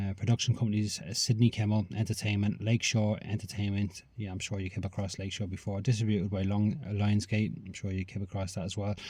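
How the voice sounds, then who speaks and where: A man's fairly low, dark and mellow voice, somewhat breathy, with fairly even intonation. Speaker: film reviewer. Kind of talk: casual review monologue. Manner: fast; hesitant, many fillers.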